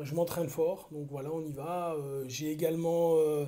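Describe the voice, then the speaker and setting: Somewhat breathy, with a dark, mellow tone, a man speaks at a moderate pace and fairly high pitch in monotone, flat intonation. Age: 40s. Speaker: martial arts coach and tailor. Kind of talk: casual vlog talk. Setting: at home. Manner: hesitant, many fillers and repetitions.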